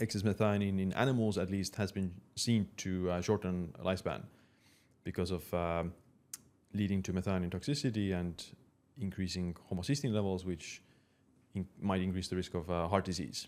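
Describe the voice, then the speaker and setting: On a very clean recording with a silent background, a man with a very deep, low pitch talks at a moderate pace with fairly even intonation. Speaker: anthropologist and author. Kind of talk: interview answer. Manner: calm.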